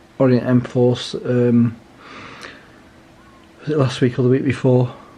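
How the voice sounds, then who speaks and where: At a fairly slow pace, a man with a British accent speaks at a medium pitch in a monotone, flat way, with noticeable background noise. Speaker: watch reviewer. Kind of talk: casual talk to camera.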